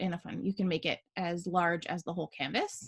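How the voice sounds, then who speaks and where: Quiet background and a woman speaking at a moderate pace. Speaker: small business owner teaching design software; small business owner demonstrating design. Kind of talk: screen-share tutorial. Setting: video call with screen share. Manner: casual, many fillers. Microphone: video call.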